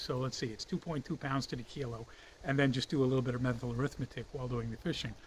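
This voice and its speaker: Speaking at a very fast pace, a man with an American accent sounds somewhat breathy. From United States. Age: 60s. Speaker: fishing hobbyist and reviewer. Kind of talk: product review. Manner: casual, with frequent fillers.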